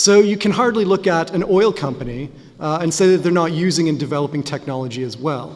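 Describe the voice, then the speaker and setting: Noticeable background noise sits behind a man speaking at a fairly quick pace. His fairly high voice carries lively intonation. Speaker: academic author and lecturer. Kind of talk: lecture. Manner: many filler sounds (uh, um).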